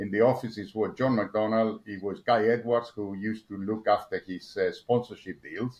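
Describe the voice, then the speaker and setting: A man with a Spanish accent at a moderate pace, flat and monotone in intonation, with big swings in loudness. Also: medium pitch for a man. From Argentina. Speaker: motorsport engineer. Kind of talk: interview. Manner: halting, many repetitions and fillers.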